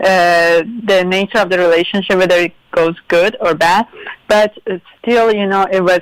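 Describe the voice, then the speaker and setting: A woman speaks at a moderate pace in a Persian accent, with medium pitch and monotone, flat intonation. The sound is dry and close, with no echo. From Iran. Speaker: interview guest. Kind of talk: interview. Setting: live radio show.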